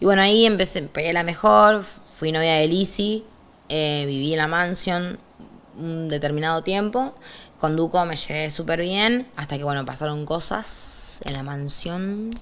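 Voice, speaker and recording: A woman speaks at a fairly slow pace in a Rioplatense accent, her fairly low voice showing ordinary pitch variation. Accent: Argentine Rioplatense Spanish. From Argentina, Rosario; Argentina. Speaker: trap artist; interviewee. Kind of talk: interview, casual chat. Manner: animated. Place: studio.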